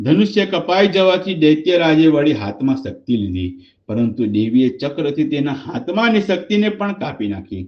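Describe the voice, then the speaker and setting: The man's voice shows very wide pitch swings. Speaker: business financial coach. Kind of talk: Gujarati translation reading. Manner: devotional, reverent.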